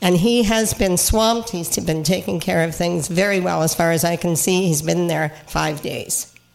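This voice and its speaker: Noticeable background noise sits behind a woman with a fairly low pitch. She keeps a moderate pace with hardly any pauses and ordinary pitch variation. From Cape Breton, Nova Scotia. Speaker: regional councillor. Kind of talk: casual chat.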